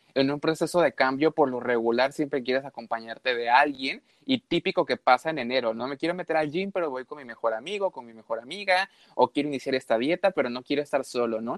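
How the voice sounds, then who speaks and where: With a Mexican accent, a man talks at a very fast pace in a fairly high pitch, his pitch varying by an ordinary amount and his loudness swinging widely. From Mexico. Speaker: habits coach. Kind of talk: casual interview.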